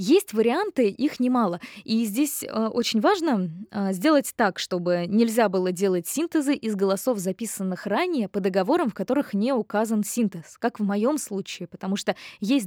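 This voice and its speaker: An ordinary speaking voice from a woman, with lively intonation, on a very clean recording against a silent background. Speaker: voice actress. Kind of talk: interview. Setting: studio.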